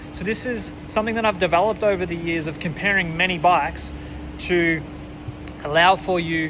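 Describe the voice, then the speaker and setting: Over noticeable background noise, the speaker uses a relaxed tone in an Australian accent, at a moderate pace with fairly even intonation. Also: man. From Australia, near Melbourne. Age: 20s. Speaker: bikepacking vlogger. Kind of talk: casual vlog intro and promo. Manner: relaxed, hesitant with fillers.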